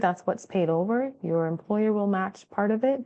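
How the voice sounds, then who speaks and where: A woman speaks at a moderate pace, her pitch fairly high with ordinary pitch variation. She has an ordinary speaking voice. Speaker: tax consultant. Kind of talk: webinar presentation. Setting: online webinar.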